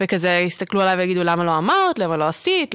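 A woman with an ordinary speaking voice talks at a fairly quick pace and a medium pitch. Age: 20s. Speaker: archaeology student. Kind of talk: casual chat.

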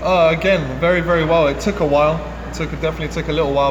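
A man with a London accent talking very fast over noticeable background noise. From London, England. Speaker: professional footballer. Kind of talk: casual interview.

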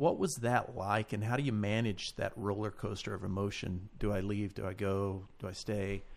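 A man speaks at a moderate pace, fairly low in pitch, with fairly even intonation. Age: 40s. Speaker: preacher. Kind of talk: casual chat.

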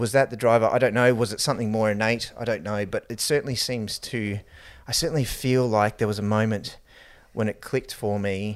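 A man with an Australian accent talks at a fairly quick pace in a medium pitch, his intonation fairly even, on a very clean recording with a silent background. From Queensland, Australia (New Zealand-born). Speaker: emergency physician and entrepreneur. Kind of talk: casual chat.

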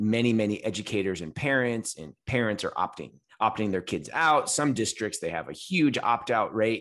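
Here is a man with an American accent and an ordinary speaking voice. He talks at a moderate pace and medium pitch with lively intonation. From California. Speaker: elementary school principal and podcast co-host. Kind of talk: casual chat.

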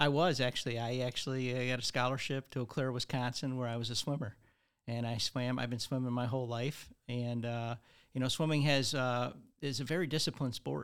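Recorded very cleanly over a silent background, a man with a Midwestern American accent talks at a fairly quick pace and medium pitch with fairly even intonation. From Michigan (Redford). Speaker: financial advisor. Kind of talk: casual interview.

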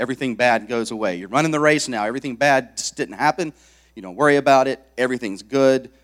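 A man talks at a very fast pace and medium pitch, with big swings in loudness. The recording is very clean with a silent background and a dry, close sound with no echo. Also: ordinary pitch variation. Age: 40s. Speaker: lay preacher, army veteran. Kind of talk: sermon. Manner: halting.

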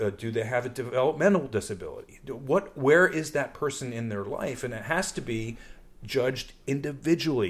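This is an unremarkable speaking voice, a man's, at medium pitch. He moves at a fairly quick pace with lively intonation. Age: 50s. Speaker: podcast host. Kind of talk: casual discussion podcast.

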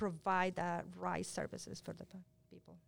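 A woman speaks at a fairly slow pace with a Spanish accent. The recording is very clean, with a silent background. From Colombia, Cali. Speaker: health outreach coordinator. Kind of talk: panel discussion.

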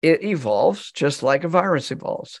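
A man speaks with a high pitch and very wide pitch swings. The recording is very clean, with a silent background. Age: 70s. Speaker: psychologist, author and non-profit founder. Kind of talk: casual interview.

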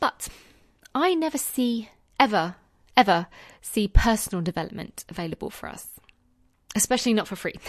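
A woman with a London accent speaks fairly quickly in a fairly high pitch, her tone warm and passionate and her intonation lively. Her loudness swings widely, she takes long, frequent pauses, and the sound is dry and close with no echo. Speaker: secondary school teacher and podcast host. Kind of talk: solo podcast monologue. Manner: warm, conversational, passionate.

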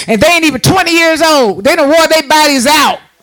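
With an animated tone and an extremely high pitch, a man talks at a fairly quick pace over noticeable background noise. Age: 60s. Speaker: preacher. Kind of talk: sermon. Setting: church.

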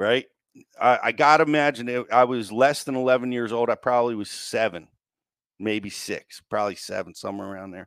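With an American accent, a man speaks at a fairly quick pace in an ordinary speaking voice. His medium pitch has ordinary pitch variation, and his loudness swings widely. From US Mid-Atlantic. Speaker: podcast host. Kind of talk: casual chat.

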